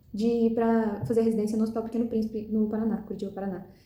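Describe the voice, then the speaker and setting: Talking at a very fast pace, a woman with a fairly high pitch is heard with audible room echo. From Brazil, Goiás. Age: 20s. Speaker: medical student. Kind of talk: recorded self-presentation. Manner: hesitant, many fillers.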